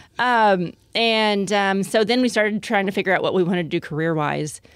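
This woman has an ordinary speaking voice and an American accent. She talks at a fairly quick pace with lively intonation. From Texas, Lake Jackson. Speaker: foundation founder. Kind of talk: interview.

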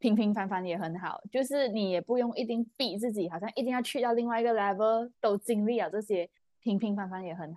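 Speaking at a fairly quick pace with hardly any pauses, a woman uses a dark, mellow tone, a fairly high pitch, and ordinary pitch variation. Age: 20s. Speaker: podcast co-host. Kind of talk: casual chat.

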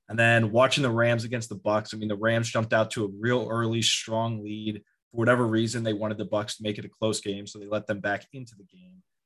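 A man's medium-pitched voice in an American accent, very fast with hardly any pauses, flat and monotone, with big swings in loudness. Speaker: sports podcast co-host.

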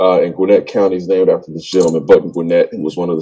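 Noticeable background noise accompanies a man who speaks very fast. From Georgia, suburban Atlanta. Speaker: school principal. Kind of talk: interview. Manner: casual.

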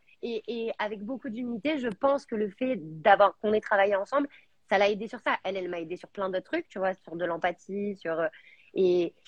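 At a fairly quick pace, an ordinary speaking voice carries ordinary pitch variation. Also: woman. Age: 30s. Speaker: entrepreneur, founder of a menstrual products brand. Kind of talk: live interview. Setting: live video stream.

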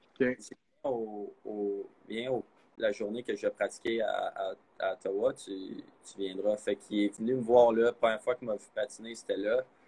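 Speaking slowly-ish at a fairly slow pace with a Quebec accent, a man shows big swings in loudness. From Quebec, Blainville. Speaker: college hockey goaltender. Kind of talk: interview.

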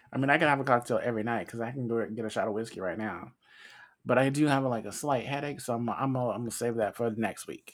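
A man talks very fast at a medium pitch. His pitch varies in an ordinary way. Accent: American. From United States. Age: 40s. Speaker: podcast host. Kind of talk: casual chat.

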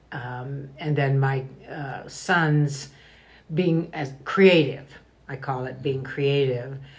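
A woman's very deep, low voice at a very slow pace, with big swings in loudness, long, frequent pauses and noticeable background noise. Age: 80s+. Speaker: grandmother, guest. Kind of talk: personal interview. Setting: in person, Idaho.

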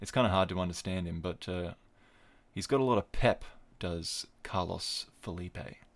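With an Australian accent, a man with a very deep, low voice speaks at a moderate pace on a very clean recording with a silent background. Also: ordinary pitch variation. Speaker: podcast host and wrestling commentator. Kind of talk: casual solo podcast. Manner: rambling, hesitant.

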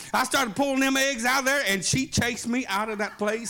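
A man with an American accent speaks in a raised, projected voice at an extremely high pitch, his tone animated and his intonation lively. Noticeable background noise runs underneath. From Oklahoma. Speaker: pastor. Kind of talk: sermon. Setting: church.

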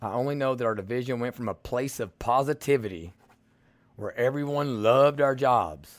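With a strong Southern US accent, a man talks at a moderate pace, medium pitch and ordinary pitch variation. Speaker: podcast host. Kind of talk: political commentary monologue. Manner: blunt, direct; casual, folksy.

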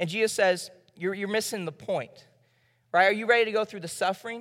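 A high-pitched man's voice with an American accent, a very fast pace and ordinary pitch variation. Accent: Southern US, comes out at times. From US South. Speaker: preacher. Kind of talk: sermon.

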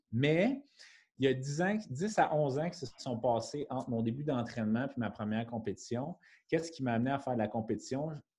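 Somewhat breathy and dark, mellow in tone, this man's voice sits at a medium pitch and moves at a fairly quick pace. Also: ordinary pitch variation. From Quebec, Montreal. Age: 30s. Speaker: fitness coach and bodybuilding athlete. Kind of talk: casual interview.

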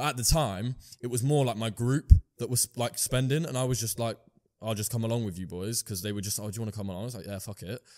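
In a very clean recording with a silent background, the speaker goes at a very fast pace with ordinary pitch variation. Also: man, medium pitch for a man. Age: young. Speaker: e-commerce entrepreneur. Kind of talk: casual interview.

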